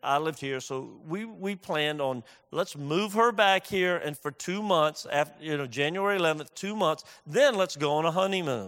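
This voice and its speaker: A man with a plain, everyday voice talks at a moderate pace, fairly high in pitch. The recording is very clean, with a silent background. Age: 60s. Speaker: pastor. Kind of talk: sermon. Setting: church.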